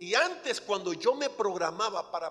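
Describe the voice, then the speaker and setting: Noticeable background noise is present throughout. A man speaks over it at a fairly slow pace. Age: 60s. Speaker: pastor. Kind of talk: sermon.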